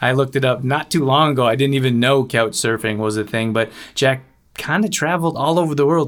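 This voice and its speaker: An unremarkable speaking voice from a man, at medium pitch and a fairly quick pace, with ordinary pitch variation. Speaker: radio host. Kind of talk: interview. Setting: video call.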